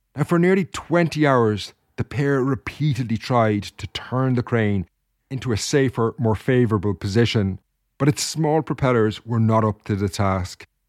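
A man at a moderate pace, medium pitch, with ordinary pitch variation and a normal speaking voice, in a very clean recording with a silent background and a dry, close sound with no echo. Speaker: podcast host. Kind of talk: history documentary narration. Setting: home recording setup. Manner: measured, formal storyteller pace.

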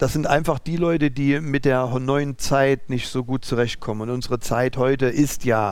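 With fairly even intonation, a man of medium pitch talks at a fairly slow pace. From East Germany (former GDR). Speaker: business owner, driving school. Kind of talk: interview conversation. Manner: halting.

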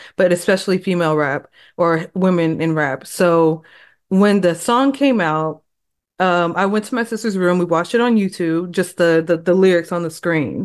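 Against a quiet background, a plain, everyday voice with an American accent speaks at a moderate pace. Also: woman. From Texas. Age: 30s. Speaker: hip hop journalist and author. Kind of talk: casual interview chat.

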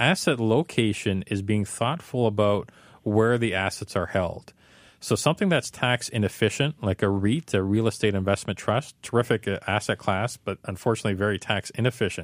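A man talks in a plain, everyday voice at a fairly low pitch and a moderate pace. His pitch variation is ordinary, and the sound is dry and close with no echo. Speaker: financial planner. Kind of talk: radio call-in advice. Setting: studio.

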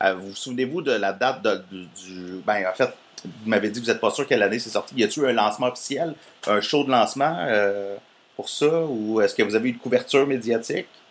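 A man with a Quebec accent at a medium pitch, fairly quick in pace, with ordinary pitch variation and big swings in loudness. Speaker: podcast host, interviewer. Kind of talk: casual interview. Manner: halting.

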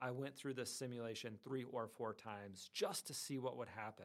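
A man with an ordinary speaking voice, medium pitch and an American accent, at a moderate pace with fairly even intonation. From northwest Iowa, US Midwest. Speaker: education dean. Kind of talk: interview.

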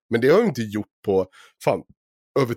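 A man talks at a medium pitch, his voice swinging very widely up and down. The recording is very clean with a silent background and a dry, close sound free of echo. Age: 30s. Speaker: podcast host. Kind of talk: casual chat.

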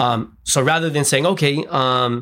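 An ordinary speaking voice with lively intonation moves at a moderate pace. The recording is very clean, with a silent background. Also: man. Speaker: education nonprofit co-founder. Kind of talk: casual chat.

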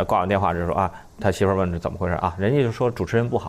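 The speaker here is a man. His pitch moves with ordinary variation. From northern China. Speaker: comedian, former radio news commentator. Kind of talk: casual chat.

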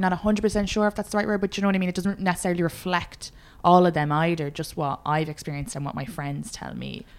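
A woman's voice of fairly low pitch. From Ireland, Meath/Dublin border. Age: 20s. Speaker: comedian. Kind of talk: casual chat.

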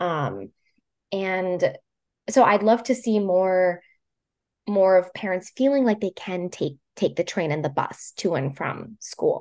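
Against a quiet background, a woman speaks very slowly, pausing often and at length. Her pitch is medium and her intonation lively. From Puerto Rico, moved to mainland US at about thirteen. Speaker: transit advocate speaker for caregivers. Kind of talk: casual interview chat.

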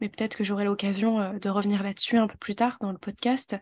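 Somewhat breathy, a woman's voice sits at a fairly high pitch with fairly even intonation. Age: 20s. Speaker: holistic therapist and mentor. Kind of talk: personal testimony interview.

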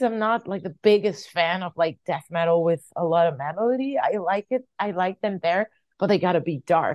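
A woman speaks at a moderate pace with a Portuguese accent. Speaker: metal singer and bassist. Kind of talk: interview. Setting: video call.

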